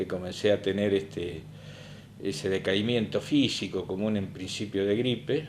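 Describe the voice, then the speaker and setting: A man with a plain, everyday voice, fairly low in pitch, at a fairly slow pace. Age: 60s. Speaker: covid survivor. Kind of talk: testimony.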